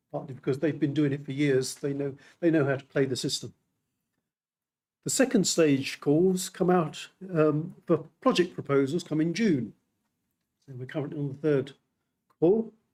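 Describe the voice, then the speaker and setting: A fairly high-pitched man with a British accent, ordinary pitch variation, and long, frequent pauses. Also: moderate pace. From United Kingdom. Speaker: metrology official speaking at a symposium. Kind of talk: conference presentation. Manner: halting, many repetitions.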